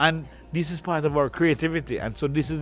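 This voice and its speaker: Music plays in the background as a man with a Jamaican accent speaks at a very fast pace in a fairly high pitch. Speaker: museum founder and author. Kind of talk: interview conversation. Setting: in the museum.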